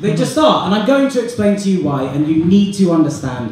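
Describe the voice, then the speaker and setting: An animated man with a British accent and very wide pitch swings, over light background noise and audible room echo. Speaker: student comedian and compere. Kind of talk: stand-up comedy. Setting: stage with audience. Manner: animated, rapid-fire, self-deprecating; cheeky, sarcastic, with mock-outrage tangents. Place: hall.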